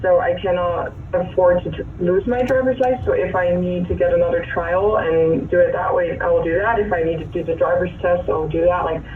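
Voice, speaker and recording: A woman with a Dutch accent at a moderate pace, amid audible room echo and noticeable background noise. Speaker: defendant. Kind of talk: court hearing.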